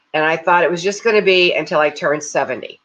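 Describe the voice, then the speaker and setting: A woman's voice sits at a fairly low pitch. Her tone is bright and sharp. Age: 70s. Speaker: livestream host and crisis management certification leader. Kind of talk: casual talk with guided reflection. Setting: Facebook live video. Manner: conversational, with frequent fillers and repetitions.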